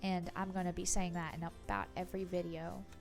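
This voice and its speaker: A woman's voice with music in the background. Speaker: bullet journal creator. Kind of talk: casual conversational voice-over. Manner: slow-paced.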